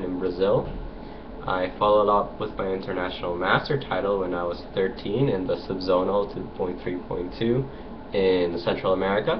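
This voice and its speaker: Against noticeable background noise, a man with a fairly low voice talks at a moderate pace. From Costa Rica. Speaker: chess grandmaster. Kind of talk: self-introduction video. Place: home room. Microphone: webcam.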